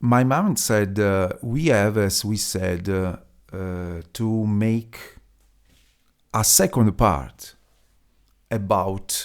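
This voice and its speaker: A man speaks with an Italian accent at a fairly low pitch, with ordinary pitch variation. The recording is very clean, with a silent background. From Italy. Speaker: podcaster. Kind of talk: solo podcast monologue. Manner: halting, many fillers.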